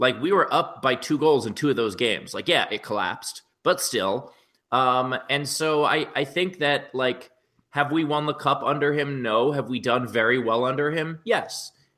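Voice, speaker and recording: A man's fairly high, bright and sharp voice with ordinary pitch variation. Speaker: comedian. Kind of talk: casual chat. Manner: jokey, quick-witted.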